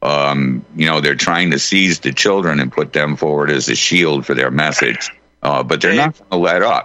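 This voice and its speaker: The voice moves at a moderate pace with fairly even intonation, while its loudness swings a lot. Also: man, very deep, low pitch for a man. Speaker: radio show host guest. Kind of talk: casual chat.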